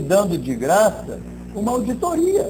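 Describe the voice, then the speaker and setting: A man at a very slow pace, with audible room echo. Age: 60s. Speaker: marketing director. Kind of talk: interview.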